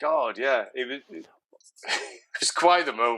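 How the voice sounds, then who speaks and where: A man with an English accent speaks in a fairly high voice, bright and sharp in tone, with ordinary pitch variation. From England. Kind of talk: interview answer.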